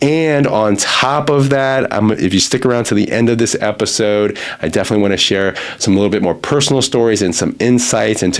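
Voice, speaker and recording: Fairly quick speech from a man with an American accent, noticeable background noise underneath. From US. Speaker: recruiter and podcast host. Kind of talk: podcast monologue. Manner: casual, conversational.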